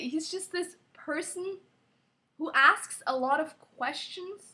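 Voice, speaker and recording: The voice is raised and projected. Its tone is bright and sharp. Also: woman. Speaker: vlogger. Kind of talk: casual vlog. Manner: chatty, filler-heavy.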